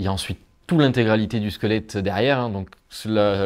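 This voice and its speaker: Fairly low male voice, intonation fairly even. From southern France, Hérault. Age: 20s. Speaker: amateur fossil excavator. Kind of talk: documentary interview. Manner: hesitant, many fillers.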